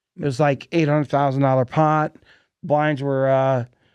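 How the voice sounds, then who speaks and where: A man speaks at a medium pitch in a monotone, flat delivery. The sound is dry and close with no echo, over a quiet background. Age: 60s. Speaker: podcast host. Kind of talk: casual chat. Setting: studio.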